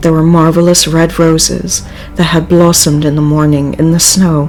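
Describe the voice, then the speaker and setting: A woman speaks at a very deep, low pitch with fairly even intonation. Music plays in the background. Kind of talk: audiobook reading; livestream reading.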